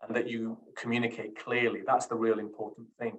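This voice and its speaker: A man with a Yorkshire accent. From Sheffield, Yorkshire, England. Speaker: criminal barrister. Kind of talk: interview. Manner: hesitant.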